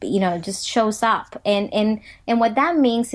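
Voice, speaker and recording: A woman at a fairly high pitch with a Spanish accent, over a quiet background. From Dominican Republic. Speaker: motivational speaker. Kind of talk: interview.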